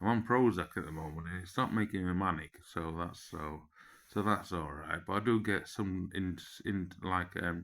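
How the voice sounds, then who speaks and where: In an English accent, a man with a very deep, low pitch and a bright, sharp tone is heard on a very clean recording with a silent background. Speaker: vlogger. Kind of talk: personal monologue. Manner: animated.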